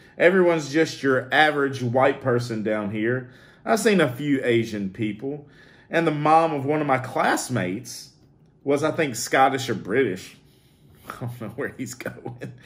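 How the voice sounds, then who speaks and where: This man has a plain, everyday voice at a medium pitch, with ordinary pitch variation. He keeps a moderate pace. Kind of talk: casual talk to camera, reading viewer comments.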